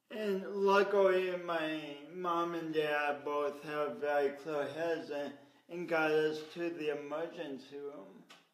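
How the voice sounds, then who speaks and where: Against audible room echo, a man speaks with an American accent and fairly even intonation. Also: fairly high pitch for a man. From US Midwest, Sioux Falls, South Dakota. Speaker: motivational speaker and coach. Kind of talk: interview storytelling. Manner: halting.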